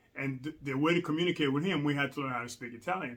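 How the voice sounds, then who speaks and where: The speaker is a man with a fairly high voice. His tone is bright and sharp. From Rwanda. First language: Kinyarwanda. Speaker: language learning vlogger. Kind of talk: casual vlog tutorial. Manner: casual with many fillers.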